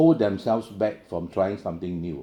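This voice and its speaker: A man's dark, mellow tone. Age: 60s. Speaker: keynote speaker, financial professional. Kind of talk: keynote speech. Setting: conference.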